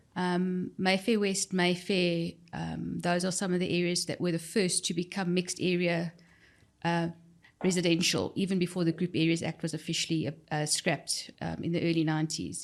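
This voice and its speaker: A woman with a South African accent, fairly low pitch and monotone, flat intonation, in a very clean recording with a silent background. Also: moderate pace. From South Africa, central Johannesburg. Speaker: human resources expert. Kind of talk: podcast interview. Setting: studio.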